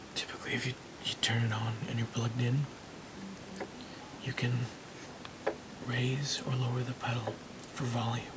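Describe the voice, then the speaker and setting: Someone whispers, soft-spoken and at a very even loudness, at a moderate pace with long, frequent pauses. Noticeable background noise sits under the voice. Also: man. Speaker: ASMR creator and hobbyist guitarist. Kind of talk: ASMR gear show-and-tell to camera. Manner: soft-spoken, whispering.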